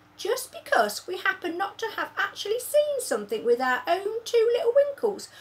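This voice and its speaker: A woman does a put-on character voice that is squeaky and extremely high, with very wide pitch swings at a moderate pace. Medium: read story. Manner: rustic, jumbled grammar.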